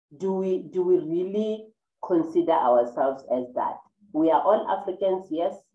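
With audible room echo around her, a woman speaks at a moderate pace using lively intonation. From South Africa. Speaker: online talk show host; interview host. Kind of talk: interview. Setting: video call. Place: home room. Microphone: webcam.

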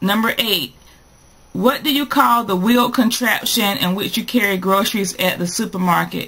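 Lively intonation marks this woman's speech, in a North Carolina accent. She speaks at a fairly slow pace. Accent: North Carolina Southern US. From North Carolina, USA. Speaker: vlogger. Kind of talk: casual talk to camera. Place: home room. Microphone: webcam.

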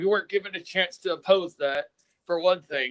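Heard in a dry, close sound with no echo, a man with an American accent speaks at a moderate pace in a high pitch. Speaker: resident speaking in opposition. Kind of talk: public comment at meeting. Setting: public planning meeting. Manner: halting, stuttering.

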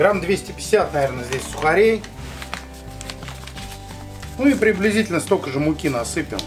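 Someone speaks at a fairly slow pace with clear music in the background. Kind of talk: cooking tutorial. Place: home room.

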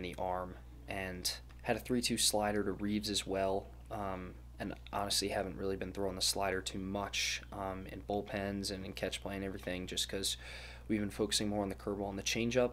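A man speaks at a moderate pace with a fairly low pitch. Light background noise can be heard. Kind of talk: casual vlog chat. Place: home room. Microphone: phone near.

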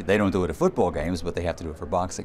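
With light background noise, a man speaks in a relaxed tone and a very deep, low pitch. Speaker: ring announcer. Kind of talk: interview answer. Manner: conversational, relaxed. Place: hall. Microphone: handheld.

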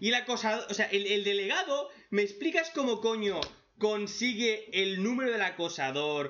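An animated man with a high pitch at a moderate pace, very even in loudness, over light background noise. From Spain. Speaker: manga reaction youtuber; webcomic reaction youtuber. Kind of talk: casual commentary; casual commentary recapping a comic. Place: home room.

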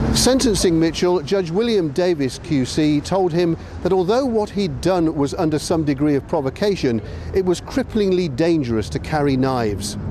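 A man's high-pitched voice with lively intonation and very even loudness, set against noticeable background noise. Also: moderate pace. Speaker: news reporter. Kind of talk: recorded TV news report, scripted voiceover. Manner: grave, steady, measured.

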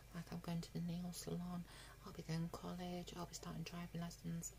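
A woman talks over light background noise. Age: 20s. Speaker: vlogger. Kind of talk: casual vlog update; casual vlog chat. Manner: halting, many fillers. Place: home room. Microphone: phone near.

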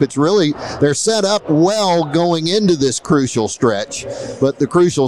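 Over faint background noise, a man with a slightly mellow tone talks at a moderate pace with lively intonation.

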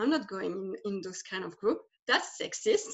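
A voice in a French accent over a quiet background. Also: woman. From France. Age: 30s. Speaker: life transition guide; interview guest. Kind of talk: interview; interview answer. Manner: halting. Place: home room. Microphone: video call.

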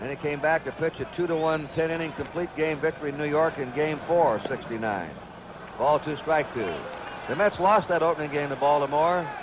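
Noticeable background noise runs under the recording. A man speaks at a fairly high pitch. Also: ordinary pitch variation, moderate pace. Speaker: baseball play-by-play announcer. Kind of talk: 1970s network radio/TV baseball play-by-play broadcast.

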